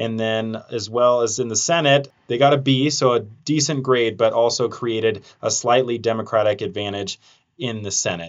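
A man with a plain, everyday voice speaks at a moderate pace, using a medium pitch and ordinary pitch variation. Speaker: TV news reporter and podcast host. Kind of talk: interview podcast.

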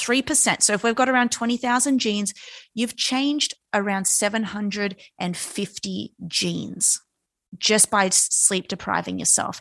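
With an Australian accent, a woman of medium pitch talks at a moderate pace with ordinary pitch variation, in a dry, close sound with no echo against a quiet background. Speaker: neurophysiologist. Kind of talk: interview.

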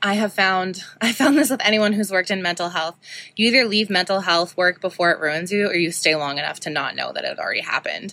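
In a bright, sharp tone, a woman talks fairly quickly at a medium pitch with ordinary pitch variation. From Saskatoon, Saskatchewan, Canada. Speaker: podcast host, shop owner. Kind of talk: personal monologue. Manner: casual, many filler ums.

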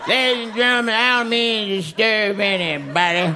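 A put-on character voice with a fairly high pitch speaks at a moderate pace. Loud background noise runs underneath. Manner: whiny, pleading.

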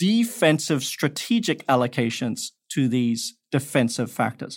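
Lively intonation from a male speaker, captured on a very clean recording with a silent background. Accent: Australian. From Perth, Australia. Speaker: investment expert, former professor. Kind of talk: interview.

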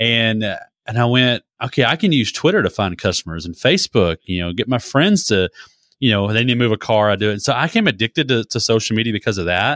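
Lively intonation marks this man's medium-pitched voice. The sound is dry and close with no echo, in a very clean recording with a silent background. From Texas (near Waco). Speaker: social media marketer, podcaster. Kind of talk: interview.

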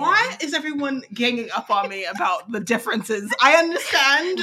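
A high-pitched woman's raised, projected voice swings very widely in pitch against noticeable background noise. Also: moderate pace. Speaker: tabletop role-playing game player. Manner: dry, sarcastic-sounding delivery.

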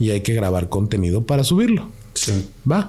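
A man with a Mexican accent. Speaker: paranormal experiencer. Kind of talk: casual chat. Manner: animated.

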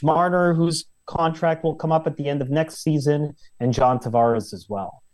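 At a fairly slow pace, an unremarkable speaking voice moves with ordinary pitch variation. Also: man. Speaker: hockey journalist. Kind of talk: interview. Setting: video call.

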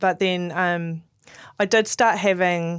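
The recording is very clean, with a silent background. A woman with a New Zealand accent speaks in a fairly low pitch with fairly even intonation. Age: 40s. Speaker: podcast host sharing her cancer story. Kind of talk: personal testimony in casual chat.

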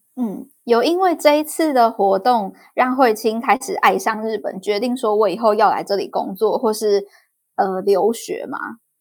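In a very clean recording with a silent background, someone with a Taiwanese accent speaks at a fairly slow pace and with lively intonation. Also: woman, fairly high pitch for a woman. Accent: Taiwanese Mandarin. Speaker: podcast host. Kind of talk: interview.

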